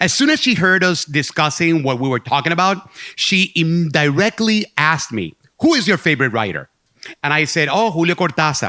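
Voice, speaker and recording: This man has a Puerto Rican accent and a high pitch for a man. His tone is bright and sharp, his pace moderate, and his pitch swings very wide. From Puerto Rico. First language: Spanish. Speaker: storyteller. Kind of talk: live storytelling performance. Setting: stage with audience.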